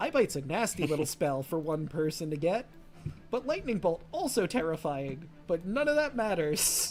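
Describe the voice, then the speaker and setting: Putting on a character voice, a man speaks high at a moderate pace over clear background noise. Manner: showy, excited host delivery.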